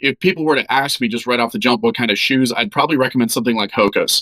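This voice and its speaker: In a dry, close recording with no echo, a man speaks fairly quickly at medium pitch with ordinary pitch variation and a bright, sharp tone. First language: German. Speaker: doctor giving health advice. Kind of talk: podcast interview, explaining. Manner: conversational, with filler words.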